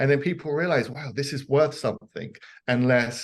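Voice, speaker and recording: A man is speaking. He has a London accent. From southeast London, England. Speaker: precious metals businessman. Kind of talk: podcast interview.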